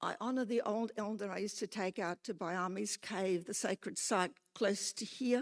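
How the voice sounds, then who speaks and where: A woman with an Australian accent, medium pitch and a moderate pace, in a dry, close sound with no echo. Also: ordinary pitch variation, very clean recording, silent background. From Australia, Newcastle NSW. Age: 80s+. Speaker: retired lecturer, public speaker. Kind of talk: public hearing submission.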